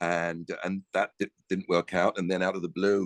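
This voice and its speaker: A man talks at a fairly quick pace in a very deep, low voice with vocal fry, and the sound is dry and close with no echo. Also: quiet background. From Canada. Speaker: actor. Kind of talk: casual chat.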